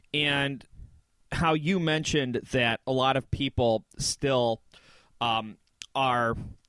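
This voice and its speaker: A man with a Michigan accent talks in a fairly high voice. The sound is dry and close, with no echo. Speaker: podcast co-host. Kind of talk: casual chat.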